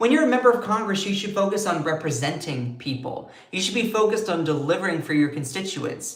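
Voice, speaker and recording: A man with an American accent, high in pitch, fairly quick and animated in tone, with very wide pitch swings. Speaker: political commentary streamer. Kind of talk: live stream commentary. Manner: slurs words sometimes.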